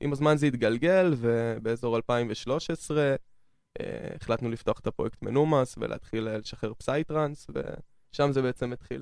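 A man with an unremarkable speaking voice and medium pitch talks at a moderate pace with ordinary pitch variation, in a very clean recording with a silent background. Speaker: trance music producer and DJ. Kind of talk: radio interview. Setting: studio.

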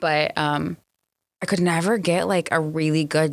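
With an American accent, a woman talks at a very fast pace in a very deep, low pitch. Her intonation stays fairly even. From Portland, Oregon and California. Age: 30s. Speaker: entrepreneur and former prisoner. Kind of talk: casual interview.

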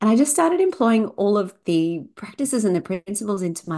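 At a fairly quick pace, a woman with an unremarkable speaking voice uses lively intonation. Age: 40s. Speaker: fertility yoga teacher. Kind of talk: interview, personal story and explanation.

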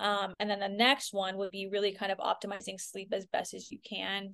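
In a Californian accent, a woman talks at a moderate pace and medium pitch with monotone, flat intonation. The sound is dry and close with no echo, against a quiet background. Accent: Californian American. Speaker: functional health coach. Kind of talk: podcast interview. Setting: video call.

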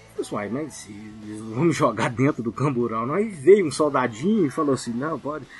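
Over music in the background, a man with a medium-pitched voice talks with lively intonation and hardly any pauses. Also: moderate pace. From Minas Gerais, Brazil. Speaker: listener guest, travel channel creator. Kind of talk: casual chat, storytelling.

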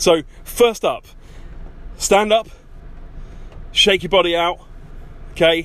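A high-pitched man with an English accent, very slow and fairly even in intonation, with long, frequent pauses. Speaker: podcast host, self-improvement coach. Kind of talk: casual monologue. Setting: in a car. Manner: chatty with many ums and uhs.

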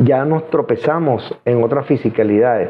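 A man's fairly high-pitched voice. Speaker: hypnotherapist and esoteric livestream host. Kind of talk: live stream Q&A monologue. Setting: live stream from home studio.

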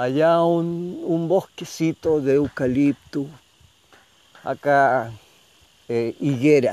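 A fairly high-pitched male voice with a dark, mellow tone and ordinary pitch variation, in a dry, close sound with no echo. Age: 70s. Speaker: community radio host. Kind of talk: casual on-location radio chat. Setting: outdoors at a rural guesthouse.

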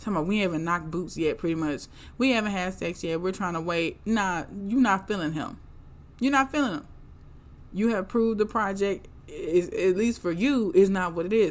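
In a very clean recording with a silent background, a woman with a normal speaking voice talks fairly quickly at a medium pitch, with ordinary pitch variation. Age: 30s. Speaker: podcast host reviewing reality TV. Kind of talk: casual monologue.

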